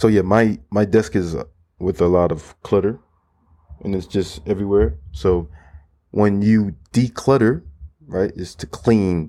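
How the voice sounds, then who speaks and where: In a Florida accent, a man speaks with a very deep, low pitch and a dark, mellow tone. His pitch variation is ordinary and his pace moderate. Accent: American English, Florida. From Florida, US. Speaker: podcast host and language teacher. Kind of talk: casual solo podcast monologue aimed at language learners.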